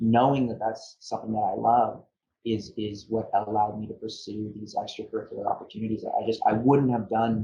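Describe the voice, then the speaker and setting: This man talks at a fairly quick pace with a Canadian accent. His voice is fairly low and somewhat breathy. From Ontario, Canada (Niagara region). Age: 20s. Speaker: trade lawyer, university alumnus. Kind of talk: interview. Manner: halting, many fillers and repetitions.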